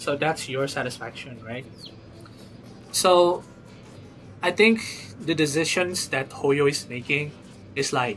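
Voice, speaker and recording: Over noticeable background noise, a man with a fairly high pitch talks at a very slow pace, with ordinary pitch variation and long, frequent pauses. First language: not English. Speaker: gaming livestreamer. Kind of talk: live stream chat about a game. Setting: live stream. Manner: casual, halting with repetitions.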